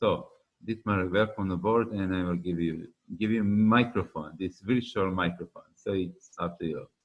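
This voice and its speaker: With a Serbian accent, a man talks at a moderate pace in a very deep, low pitch with fairly even intonation. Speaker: webinar host. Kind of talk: webinar introduction. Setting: online webinar.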